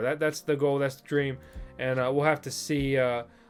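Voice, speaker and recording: Very fast speech with music in the background. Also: man. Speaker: crypto YouTuber. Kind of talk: casual video commentary.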